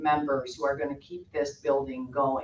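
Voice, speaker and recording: The speaker is a woman with ordinary pitch variation. Background noise can be clearly heard. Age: 60s. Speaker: massage therapist and yoga instructor. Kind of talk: public comment at board meeting. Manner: unscripted, spontaneous.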